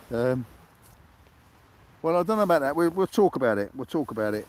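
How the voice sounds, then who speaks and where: Speaking fairly quickly in a British accent, a man uses lively intonation. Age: 70s. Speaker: sea angler livestreamer. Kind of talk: live stream chat. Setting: outdoors on a beach. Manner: halting.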